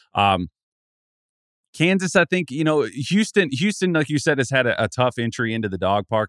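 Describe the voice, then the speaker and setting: At a fairly quick pace, a man talks. His pitch swings very widely. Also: dry, close sound with no echo. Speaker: college basketball analyst. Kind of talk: casual chat. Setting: remote from home desk.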